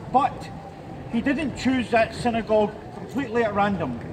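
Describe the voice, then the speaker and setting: At a moderate pace, the voice comes through noticeable background noise. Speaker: rally speaker. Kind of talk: public speech at a rally. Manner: loud, projected without amplification; halting, repeats words.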